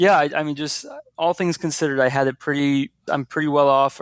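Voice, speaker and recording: The speech moves at a fairly quick pace with fairly even intonation. The sound is dry and close, with no echo. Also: man. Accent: American. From US, northern Virginia (Fairfax County). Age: 20s. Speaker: nonprofit CEO. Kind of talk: interview. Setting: podcast interview.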